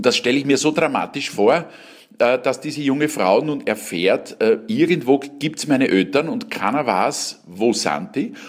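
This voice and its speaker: Fairly slow and lively in intonation, a man talks in an ordinary speaking voice pitched fairly high. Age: 60s. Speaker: cabaret artist and actor. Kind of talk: interview.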